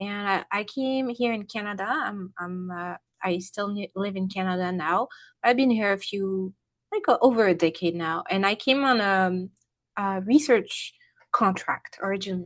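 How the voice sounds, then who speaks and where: Over a quiet background, a woman with a French accent talks at a moderate pace. Her medium pitch shows ordinary variation. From France. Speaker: health coach and former research scientist. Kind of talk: podcast interview.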